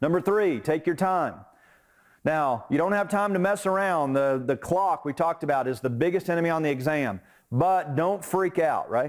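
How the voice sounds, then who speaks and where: In a very clean recording with a silent background, a man with a normal speaking voice talks with ordinary pitch variation. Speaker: instructor. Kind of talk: lecture. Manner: conversational.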